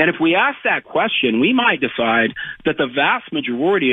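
Moderately paced, a man talks with a fairly high pitch in an unremarkable speaking voice. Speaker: former cabinet secretary and author. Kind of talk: interview.

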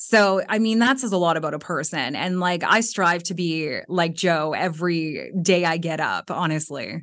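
Against a quiet background, a woman with a normal speaking voice and fairly low pitch talks at a moderate pace with ordinary pitch variation and hardly any pauses. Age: 30s. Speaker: former podcast producer. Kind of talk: casual chat.

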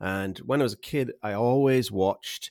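The speaker has a Yorkshire accent and talks at a moderate pace with ordinary pitch variation. The recording is very clean, with a silent background. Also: man. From Yorkshire, England. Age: 40s. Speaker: landscape photographer. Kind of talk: casual chat. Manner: jokey, humorous.

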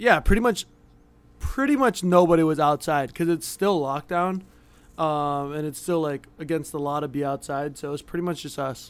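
A man with an unremarkable speaking voice talks at a moderate pace and fairly high pitch with ordinary pitch variation, in a very clean recording with a silent background. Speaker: pro athlete and musician. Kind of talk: casual chat.

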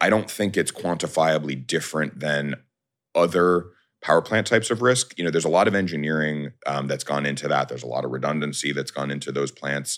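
In a very clean recording with a silent background, a man with an American accent speaks at a very deep, low pitch with ordinary pitch variation and vocal fry. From New York. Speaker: bitcoin miner. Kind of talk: interview.

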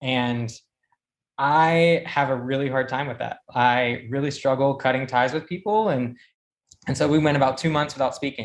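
A man with a plain, everyday voice and an American accent speaks at a moderate pace and medium pitch. His pitch varies ordinarily over a quiet background. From South Carolina. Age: 20s. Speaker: medical student, caller. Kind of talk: personal story. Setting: call-in.

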